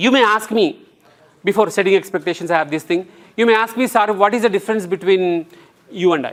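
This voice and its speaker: A man with an Indian accent, high pitch and fairly quick pace. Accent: Indian English (Telugu). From India, Telangana (Nalgonda district village). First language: Telugu. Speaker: English trainer. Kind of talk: lecture. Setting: classroom. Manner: animated.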